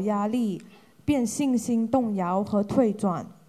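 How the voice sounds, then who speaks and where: Very slow and fairly high-pitched, a woman speaks in a dark, mellow tone. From Hong Kong. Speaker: group representative asking questions. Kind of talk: formal questions.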